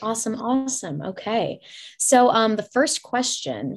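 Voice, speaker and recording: A woman's plain, everyday voice at a fairly slow pace, with lively intonation. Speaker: college student interviewer. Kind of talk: interview for class project. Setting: video call.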